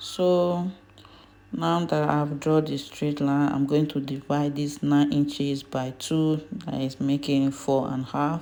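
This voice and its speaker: With a non-native accent, a woman speaks very slowly in a very deep, low voice with a dark, mellow tone and fairly even intonation. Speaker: fashion design instructor. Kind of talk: tutorial.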